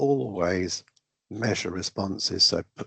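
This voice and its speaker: Using a fairly low pitch and a fairly slow pace, a man with a British accent speaks in a dry, close sound with no echo. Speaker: raffle and lottery trainer. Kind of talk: online training presentation. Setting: video call.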